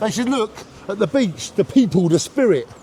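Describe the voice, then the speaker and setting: Over noticeable background noise, a man speaks at a fairly quick pace. His tone is passionate and his intonation lively. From Jaywick, Essex, from London family. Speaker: local resident. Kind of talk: street interview.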